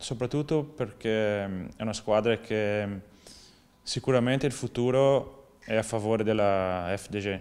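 Speaking very slowly, a man with a Portuguese accent uses ordinary pitch variation. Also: fairly low pitch for a man. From southern Brazil. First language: Portuguese (speaking Italian). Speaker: professional cyclist. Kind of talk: interview. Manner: halting. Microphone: lapel.

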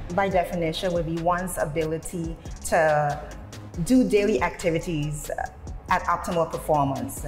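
Faint music can be heard underneath. Over it, a woman talks. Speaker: fitness instructor. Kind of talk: interview answer. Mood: friendly, smiling. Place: gym. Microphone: lapel.

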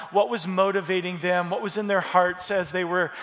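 A man's speech moves along at a fairly quick speed. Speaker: pastor. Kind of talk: sermon. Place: church. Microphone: headset.

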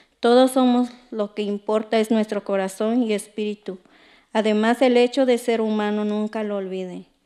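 Against a quiet background, a woman with a dark, mellow tone and fairly high pitch speaks at a moderate pace in a flat monotone. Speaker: poet. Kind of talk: poetry reading, spoken word, with a brief spoken intro. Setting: stage with audience. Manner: earnest, measured, declamatory; rhetorical repeated questions, rhythmic delivery. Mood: earnest, calm. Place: stage. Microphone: studio mic.

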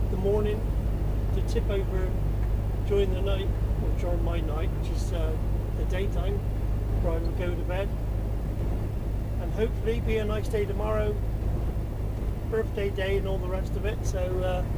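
A man speaks with long, frequent pauses. Loud background noise fills the clip. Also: moderate pace. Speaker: truck driver vlogger. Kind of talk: casual vlog chat. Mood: relaxed, cheerful. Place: car.

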